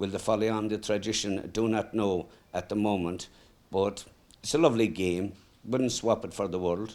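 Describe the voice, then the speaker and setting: A man with an Irish accent speaks at a moderate pace and a fairly low pitch. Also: fairly even intonation. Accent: Irish (Mayo). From Ireland, County Mayo. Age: 70s. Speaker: greyhound trainer. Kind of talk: casual interview. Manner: hesitant, with fillers.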